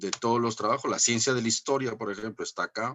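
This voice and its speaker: A man at a medium pitch. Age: 60s. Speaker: professor. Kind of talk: lecture. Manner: animated; halting.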